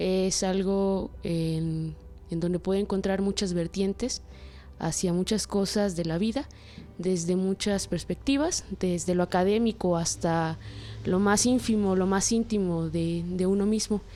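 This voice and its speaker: A woman at medium pitch over background music, with a fairly slow pace, fairly even intonation, and very even loudness. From Mexico, Chiapas, Comitán. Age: 20s. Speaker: anthropology student. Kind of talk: interview. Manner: halting, many fillers and repetitions.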